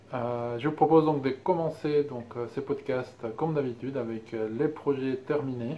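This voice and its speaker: A man at medium pitch talks at a very slow pace, keeping his intonation fairly even. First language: Spanish (speaking French). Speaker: knitting and sewing podcaster. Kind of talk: casual vlog monologue. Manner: hesitant, many filler sounds.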